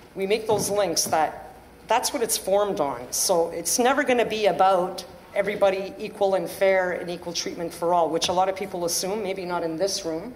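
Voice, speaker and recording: Noticeable background noise and audible room echo around a woman speaking. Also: medium pitch for a woman, ordinary pitch variation, moderate pace. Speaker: panelist, former police trainee. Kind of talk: panel talk. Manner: halting.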